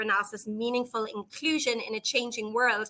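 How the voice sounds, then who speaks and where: A woman with an Irish accent speaks at a fairly quick pace in a fairly high, bright, sharp voice, her intonation monotone and flat. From Ireland. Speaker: psychology professor and researcher. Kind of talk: conference presentation. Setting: online virtual conference.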